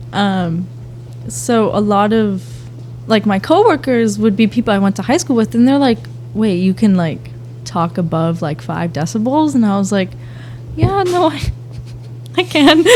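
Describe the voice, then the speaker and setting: A soft-spoken woman with an American accent talks at a moderate pace, leaving long, frequent pauses over noticeable background noise. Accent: Boston accent, comes out when upset. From Boston, Massachusetts. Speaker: aspiring teacher, youth organization founder. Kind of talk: casual podcast interview. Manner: quiet, soft-spoken; rarely raises voice.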